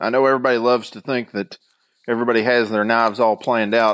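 A man talks at a very fast pace and medium pitch, with fairly even intonation. The background is quiet and the sound is dry and close, with no echo. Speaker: knifemaker. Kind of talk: casual chat.

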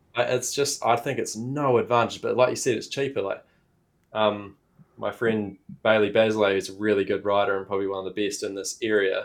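In a New Zealand accent, a man speaks at a moderate pace, his fairly low voice keeping a fairly even intonation. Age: 20s. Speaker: dirt bike YouTuber. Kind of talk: casual chat.

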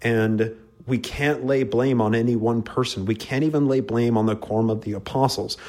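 A man with an American accent and an ordinary speaking voice, at medium pitch, moderate pace and fairly even intonation. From Utah, US. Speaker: podcast host on religious history. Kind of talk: casual interview conversation. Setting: same room as the host.

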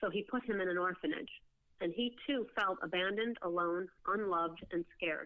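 A woman speaks in an ordinary speaking voice with an American accent. Her pace is moderate. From US Midwest, Oak Park near Chicago. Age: 50s. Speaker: testimony guest. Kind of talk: testimony.

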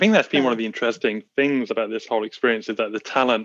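The sound is dry and close, with no echo. A man talks at a medium pitch, his intonation fairly even. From England. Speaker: photographer. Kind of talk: casual chat. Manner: halting.

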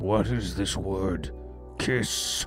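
A raspy, put-on character voice swings very widely in pitch over clear music in the background. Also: man. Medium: actual play.

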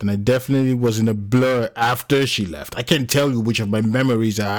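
The clip features a natural reading voice. That voice carries the whole recording.

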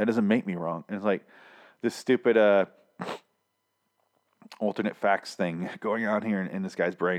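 A raspy put-on character voice at a moderate pace, with fairly even intonation and long, frequent pauses. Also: man, fairly low pitch for a man.

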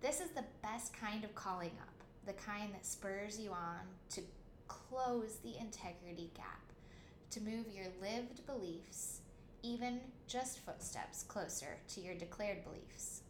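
The speech moves at a fairly slow pace with ordinary pitch variation. Noticeable background noise and audible room echo are present. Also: woman, fairly high pitch for a woman. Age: 30s. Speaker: podcast host and author. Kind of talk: scripted narration.

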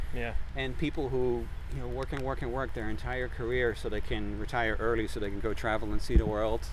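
Fairly quick speech from a man, heard with audible room echo. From Netherlands. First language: Dutch. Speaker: conservation scientist. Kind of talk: casual interview. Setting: outdoors on a trail.

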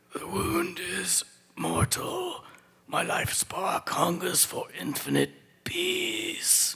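A raspy put-on character voice from a man, delivered at a very slow pace. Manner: weak, grasping, dramatic.

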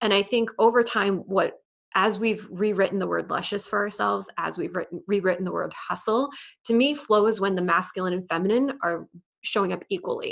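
A woman speaks at a fairly quick pace with vocal fry. Her pitch variation is ordinary. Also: medium pitch for a woman. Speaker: podcaster and business coach. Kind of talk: casual interview chat.

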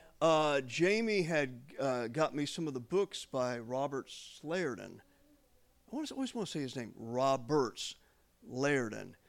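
At a moderate pace, a man with a fairly high pitch sounds animated, his intonation lively. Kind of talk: sermon. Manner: rambling, informal storytelling, repeating "I mean" and "you know".

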